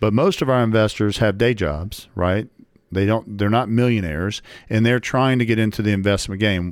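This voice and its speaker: Very cleanly recorded with a silent background, an ordinary speaking voice with an American accent moves at a moderate pace, with ordinary pitch variation and very even loudness. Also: man, fairly low pitch for a man. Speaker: real estate podcast host. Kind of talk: casual chat. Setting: studio.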